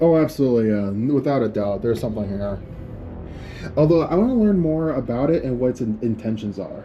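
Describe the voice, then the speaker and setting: Music sits behind the voice. A man rattles through his words very fast. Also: medium pitch for a man. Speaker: paranormal YouTuber. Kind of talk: ghost hunting vlog. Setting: indoors in an apartment. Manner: halting.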